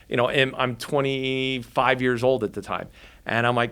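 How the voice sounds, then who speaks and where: This man talks at a medium pitch, and the recording is very clean with a silent background. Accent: New Jersey. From New Jersey. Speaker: filmmaker. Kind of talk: interview storytelling. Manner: animated.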